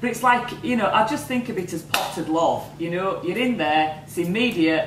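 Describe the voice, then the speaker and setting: Speaking at a moderate pace in a fairly low voice, a woman swings her pitch very widely, with audible room echo and noticeable background noise. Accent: northern English. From northern England. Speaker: entrepreneur. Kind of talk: interview. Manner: animated.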